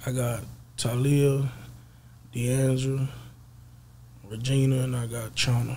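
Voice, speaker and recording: A man with an American accent speaks at a very slow pace. His delivery is monotone and flat. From Texas, East Dallas; Texas. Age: 20s. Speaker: rapper; interview guest. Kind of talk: casual interview. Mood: relaxed, casual. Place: studio. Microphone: studio mic.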